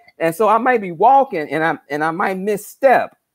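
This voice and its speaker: A man's voice with very wide swings in pitch. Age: 60s. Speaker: numerologist. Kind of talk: spiritual talk on live stream. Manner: halting, repetitive.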